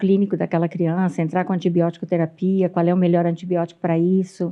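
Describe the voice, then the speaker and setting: This woman's voice sits at a medium pitch. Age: 60s. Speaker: pediatrician. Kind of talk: interview. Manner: halting.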